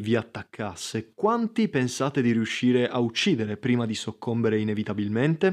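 A man with a plain, everyday voice speaks at a medium pitch and a moderate pace. The background is quiet. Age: 20s. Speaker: podcast host. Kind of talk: casual monologue. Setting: at home.

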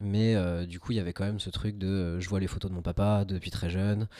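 In a very clean recording with a silent background, a man speaks at a fairly quick pace in a dark, mellow, fairly low voice with fairly even intonation. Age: 20s. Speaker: web developer and amateur film photographer. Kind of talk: casual chat. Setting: home studio.

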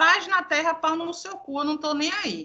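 A woman speaks in a raised, projected voice with a high pitch. Her tone is animated and her pace fairly slow. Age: 30s. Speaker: communications professional and social media personality. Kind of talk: casual chat.

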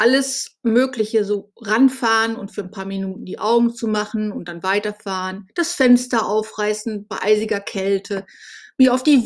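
A woman's fairly high voice at a moderate pace, on a very clean recording with a silent background. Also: big swings in loudness. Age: 50s. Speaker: podcast host, blogger. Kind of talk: personal monologue. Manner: hesitant, with fillers.

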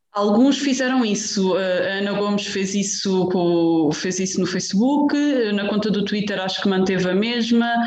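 The speech comes at a moderate pace. Background noise is noticeable. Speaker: TV journalist. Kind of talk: radio interview. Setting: remote from home. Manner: halting.

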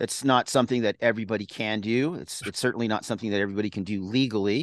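A man with an American accent talks at a very fast pace. The sound is dry and close with no echo over a quiet background. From US West Coast (Central Coast California). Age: 60s. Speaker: commercial photographer and trail running event organizer. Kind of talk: interview.

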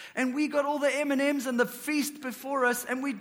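Amid noticeable background noise and audible room echo, a man talks at an extremely high pitch. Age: 30s. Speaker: pastor. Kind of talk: sermon.

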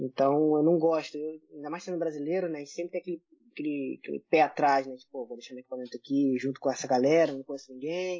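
A man talks at a very fast pace with a fairly high pitch and fairly even intonation. His loudness swings widely. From Brazil, Rio de Janeiro. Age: 30s. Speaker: airsoft player. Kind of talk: casual chat.

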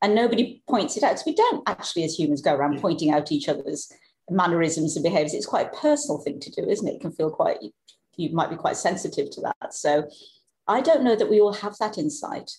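Somewhat breathy, a woman speaks at a very fast pace and a medium pitch. Her pitch swings very widely. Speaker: psychologist and author. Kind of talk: interview conversation. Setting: remote call from Norway.

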